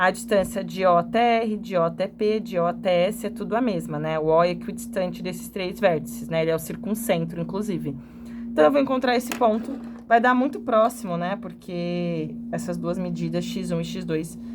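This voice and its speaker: Over music in the background, a woman speaks at a moderate pace with audible room echo. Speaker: geometry drawing teacher. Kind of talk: tutorial.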